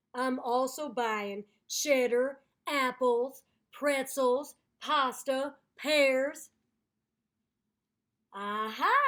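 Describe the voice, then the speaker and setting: A woman speaks in a put-on character voice, high-pitched, very slow, with fairly even intonation and long, frequent pauses. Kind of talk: children's story read-aloud. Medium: read story. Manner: irritated, indignant.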